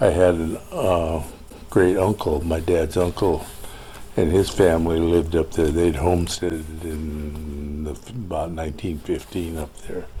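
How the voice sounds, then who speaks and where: A man with an American accent speaks at a fairly slow pace in a very deep, low voice with fairly even intonation. Noticeable background noise and audible room echo accompany him. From Montana, US. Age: 80s+. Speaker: oral history interviewee. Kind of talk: interview. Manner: halting, many fillers.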